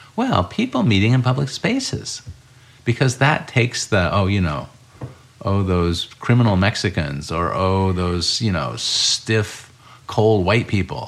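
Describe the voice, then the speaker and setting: A man talks at a fairly slow pace in a fairly low pitch with lively intonation. Noticeable background noise is present. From US Midwest (Urbana, Illinois). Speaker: journalist and urban design writer. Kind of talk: interview conversation. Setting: home kitchen.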